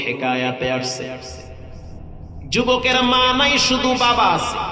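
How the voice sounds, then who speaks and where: Over noticeable background noise, a man raises and projects his voice. His pitch swings very widely. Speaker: Islamic preacher. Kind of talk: religious sermon. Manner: emotional, tearful.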